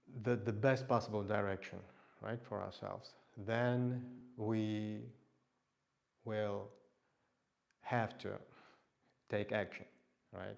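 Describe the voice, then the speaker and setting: A man's fairly low, monotone voice with a non-native accent, very slow pace and long, frequent pauses. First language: not English. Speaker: fitness instructor. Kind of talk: live workout stream talk. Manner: halting.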